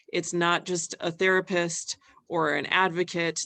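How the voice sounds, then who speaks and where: Her tone bright and sharp, a woman talks at a fairly low pitch. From Hawaii. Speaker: wellness organization leader. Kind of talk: webinar presentation.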